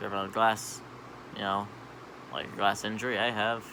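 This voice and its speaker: Noticeable background noise is present throughout. A man talks very fast over it. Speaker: vlogger. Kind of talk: casual monologue.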